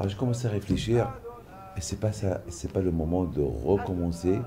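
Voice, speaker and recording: Over noticeable background noise, a man with a very deep, low pitch speaks at a fairly slow pace with ordinary pitch variation. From Morocco. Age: 60s. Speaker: pilgrimage organizer. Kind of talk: interview testimony.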